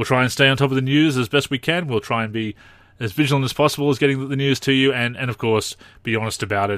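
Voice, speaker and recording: Speaking at a very fast pace, a man with an Australian accent is heard in a very clean, dry, close recording with a silent background and no echo. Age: 30s. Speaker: basketball video game podcast host. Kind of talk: solo podcast commentary. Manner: halting.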